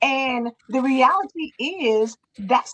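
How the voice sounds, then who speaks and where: A woman talks in an animated tone. Her voice sits at a high pitch. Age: 50s. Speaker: morning show co-host. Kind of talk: casual chat. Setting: live stream.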